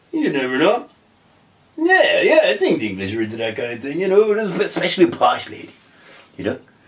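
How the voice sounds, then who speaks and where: A man's very fast speech broken by long, frequent pauses, with big swings in loudness and noticeable background noise. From Ireland. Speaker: podcast co-host. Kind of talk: casual chat.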